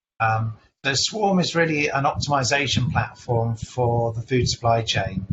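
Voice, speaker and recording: A man's somewhat breathy voice. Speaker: startup executive. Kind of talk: webinar panel discussion.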